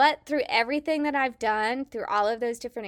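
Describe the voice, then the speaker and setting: Enthusiastic and animated in tone, a woman with an American accent speaks at a high pitch. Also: very clean recording, silent background. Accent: slight Southern twang over Midwestern. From Kansas, US Midwest. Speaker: early childhood specialist and podcast host. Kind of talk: educational podcast talk, partly scripted. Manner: enthusiastic, animated.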